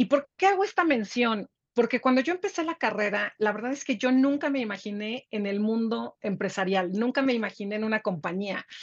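Against a quiet background, the speech moves at a fairly quick pace with hardly any pauses and lively intonation. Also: woman, fairly high pitch for a woman. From Mexico. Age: 50s. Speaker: business executive and author. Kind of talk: interview. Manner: halting, many repetitions.

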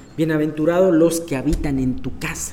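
A man talks at a fairly high pitch. The room echo is audible. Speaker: Bible study leader. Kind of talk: Bible study teaching. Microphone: voice echoing, sounded doubled.

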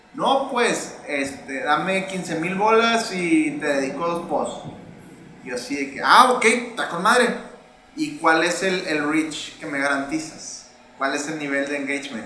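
Lively intonation carries this fairly slow delivery, heard through audible room echo and noticeable background noise. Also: man, fairly high pitch for a man. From Mexico, Monterrey. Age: 30s. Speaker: board game creator. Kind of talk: casual chat.

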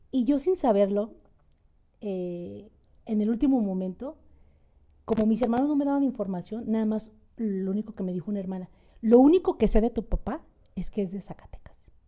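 Pausing long and often, a woman with a fairly high pitch and a dark, mellow tone speaks at a moderate pace. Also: lively intonation. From Mexico City. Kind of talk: personal testimony.

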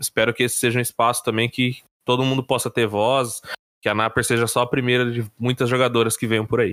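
A man talks at a fairly quick pace with a bright, sharp tone and fairly even intonation, the sound dry and close with no echo. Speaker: podcast co-host. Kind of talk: casual chat. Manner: hesitant, many fillers.

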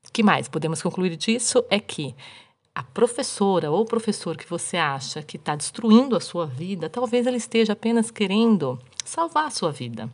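A woman speaks in an animated tone at a moderate pace, her pitch swinging very widely. Her voice shows vocal fry, and her loudness rises and falls sharply. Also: medium pitch for a woman. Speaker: podcast host. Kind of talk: casual storytelling monologue.

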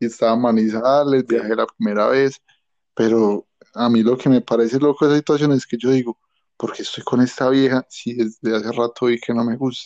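In a dry, close recording with no echo, a man talks fairly quickly at a medium pitch with monotone, flat intonation. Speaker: podcast co-host. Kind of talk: casual chat.

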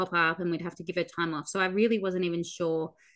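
Moderate-paced speech from a woman in an Australian accent. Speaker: podcast co-host, barrel racer. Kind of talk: casual chat.

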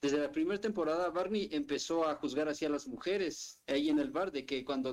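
At a fairly quick pace, an unremarkable speaking voice talks with ordinary pitch variation. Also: man. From Mexico City. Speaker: occasional podcast co-host. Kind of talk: casual chat.

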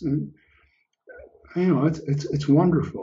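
A man's somewhat breathy voice sits at a fairly high pitch and moves at a moderate pace. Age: 70s. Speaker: guest on podcast. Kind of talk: casual chat.

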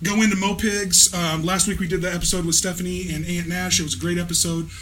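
Noticeable background noise sits behind a man who speaks very fast in a high voice with flat, monotone intonation. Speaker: podcast host. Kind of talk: casual chat. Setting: studio.

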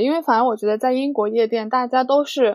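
High-pitched woman's voice at a fairly quick pace. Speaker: international student. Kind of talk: casual chat.

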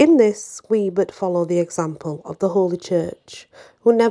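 Someone is reading aloud in a natural voice, and the pitch varies in ordinary fashion.

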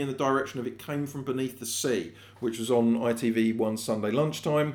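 A man in an English accent with ordinary pitch variation and audible room echo. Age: 40s. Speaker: podcast host and screenwriter. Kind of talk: solo monologue podcast. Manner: casual, chatty.

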